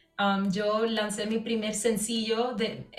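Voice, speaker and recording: A woman speaks with a fairly high pitch and fairly even intonation. Audible room echo and noticeable background noise surround her voice. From Puerto Rico. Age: young. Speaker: singer. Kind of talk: casual interview.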